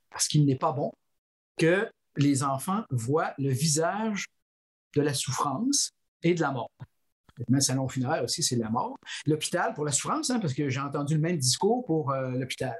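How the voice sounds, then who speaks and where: A man talks at a moderate pace with a fairly high pitch and lively intonation, his voice somewhat breathy. The sound is dry and close with no echo, and long, frequent pauses break up his speech. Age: 60s. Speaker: philosophy professor and author. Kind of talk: interview. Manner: halting.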